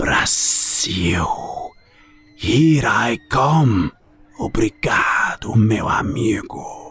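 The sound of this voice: Over music in the background, a put-on character voice creeps along at a very slow pace, with audible hissing.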